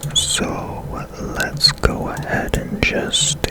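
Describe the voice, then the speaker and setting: Someone whispers over noticeable background noise. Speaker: ASMR gaming streamer. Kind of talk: ASMR gameplay commentary. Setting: home room, foam panels removed. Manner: whispering softly.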